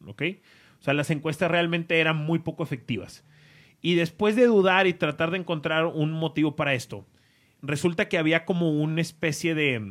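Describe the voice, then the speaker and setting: Speaking at a moderate pace, a man with a plain, everyday voice uses a fairly high pitch with ordinary variation in a very clean recording with a silent background. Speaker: podcast host. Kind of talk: casual chat.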